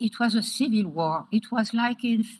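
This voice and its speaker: A woman's somewhat breathy, fairly high voice with a French accent, moderate pace and ordinary pitch variation. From France. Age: 70s. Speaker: education advocate. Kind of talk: interview. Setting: video call.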